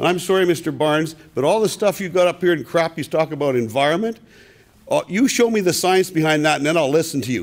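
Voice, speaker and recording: The voice is loud, with ordinary pitch variation and a fairly quick pace. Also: man. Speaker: audience member at public meeting. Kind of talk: public comment.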